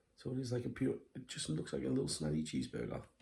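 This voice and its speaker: A quiet man with a very deep, low pitch, dark and mellow in tone, swings his pitch very widely and shows vocal fry. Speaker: food reviewer. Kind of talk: casual food review vlog. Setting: at home at night.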